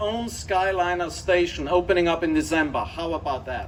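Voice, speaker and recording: A man with an Austrian accent speaks at a fairly quick pace in a high-pitched voice. Noticeable background noise runs behind him. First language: German. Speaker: company executive. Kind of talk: ceremony speech. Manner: enthusiastic.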